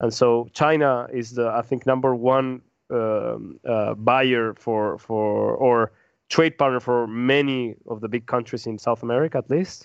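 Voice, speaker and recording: A man with a Spanish accent speaks at a fairly slow pace, his medium pitch held in fairly even intonation. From Peru. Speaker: podcast panelist on world affairs. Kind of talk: casual roundtable discussion. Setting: in-person around a table. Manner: halting, many repeated words and false starts.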